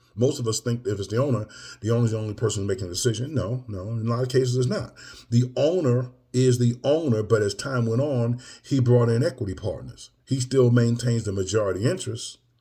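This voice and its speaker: With a dark, mellow tone, a man speaks at medium pitch, somewhat breathy, with ordinary pitch variation. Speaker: M&A business coach. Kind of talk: casual video update. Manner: preachy, emphatic; filler-heavy, conversational.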